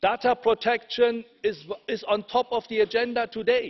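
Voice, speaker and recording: A man with a German accent speaks at an extremely high pitch with fairly even intonation. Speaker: politician. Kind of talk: parliamentary speech. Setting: parliament chamber.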